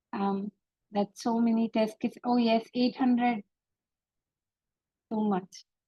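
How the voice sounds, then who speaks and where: A woman's fairly high, dark, mellow, somewhat breathy voice, very slow and monotone, with long, frequent pauses and a dry, close sound with no echo. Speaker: tech speaker on test automation. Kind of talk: webinar talk with Q&A. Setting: virtual meetup, video call.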